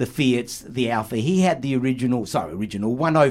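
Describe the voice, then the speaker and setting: A man with an Australian accent, at a fairly quick pace and with ordinary pitch variation. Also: very clean recording, silent background. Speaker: podcaster and car enthusiast. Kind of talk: casual chat. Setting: studio.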